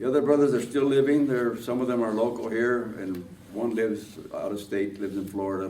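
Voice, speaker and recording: Audible room echo surrounds a man who talks at a fairly quick pace with ordinary pitch variation. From Los Angeles, Boyle Heights (Mexican-American family). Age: 90s. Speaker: war veteran. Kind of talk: oral history interview. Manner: halting, many fillers.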